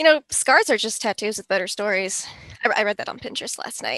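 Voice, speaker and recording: A woman at a very fast pace and fairly high pitch, with ordinary pitch variation, big swings in loudness and a dry, close sound with no echo. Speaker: comedy show host. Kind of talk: comedic news-style show hosting.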